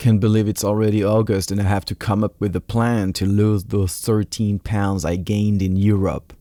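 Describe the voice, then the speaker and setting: A man with a French accent, fairly low in pitch, dark and mellow in tone, at a moderate pace. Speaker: podcast host. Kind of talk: podcast intro monologue.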